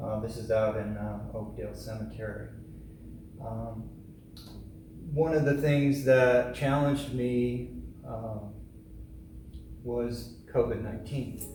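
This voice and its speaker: Audible room echo and noticeable background noise surround a man who speaks at a very slow pace with long, frequent pauses. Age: 60s. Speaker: photographer. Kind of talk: artist talk. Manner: casual, with fillers.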